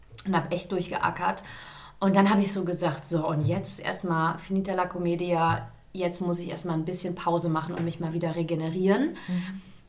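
Audible room echo surrounds a woman's fairly low voice. She speaks at a moderate pace in a flat monotone. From Hesse, Germany (Gießen). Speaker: musical theatre performer. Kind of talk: casual interview. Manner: hesitant, many fillers.

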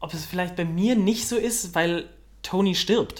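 Audible room echo surrounds a man whose high-pitched voice moves at a fairly slow pace. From Cologne, Germany. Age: young. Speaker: musical theatre performer. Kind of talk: casual interview. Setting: café.

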